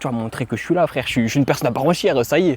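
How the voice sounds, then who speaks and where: Here a man is talking. He goes at a very fast pace. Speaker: vlogger. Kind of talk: casual talk to camera. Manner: improvised, unscripted.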